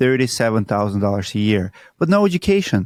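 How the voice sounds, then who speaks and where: A man of medium pitch talks with a Russian accent, the sound dry and close with no echo. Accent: Russian accent, noticeable. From Siberia, Russia. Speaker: roofing entrepreneur. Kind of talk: interview.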